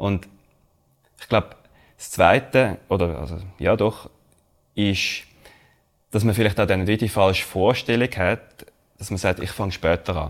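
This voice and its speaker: With a Swiss accent, a man speaks at a fairly low pitch and a fairly slow pace, with ordinary pitch variation, long, frequent pauses and big swings in loudness. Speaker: podcast co-host, finance researcher. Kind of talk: casual chat.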